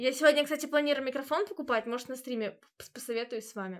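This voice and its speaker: Against a quiet background, a woman talks at a fairly quick pace in a high pitch. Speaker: streamer. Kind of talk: casual stream chat to viewers. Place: home room. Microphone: earbuds.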